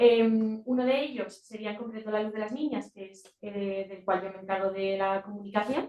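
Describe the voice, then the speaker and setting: A soft-spoken woman's voice, fairly high in pitch, dark and mellow in tone, with fairly even intonation and hardly any pauses. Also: moderate pace, big swings in loudness. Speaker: NGO communications officer. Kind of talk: presentation at a meeting. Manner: hesitant, many fillers.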